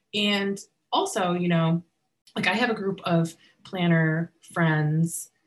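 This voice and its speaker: The voice, somewhat breathy and with an American accent, shows ordinary pitch variation. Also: woman. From US Northeast (western Massachusetts), partly California. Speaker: wedding and event planner. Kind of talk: casual interview.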